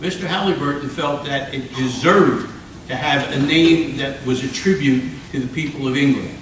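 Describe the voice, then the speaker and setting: Someone with an American accent talks at a moderate pace amid noticeable background noise and audible room echo. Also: man. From US Northeast, South Jersey. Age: 80s+. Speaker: former mayor. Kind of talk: informal local history talk. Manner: halting, with repeated words.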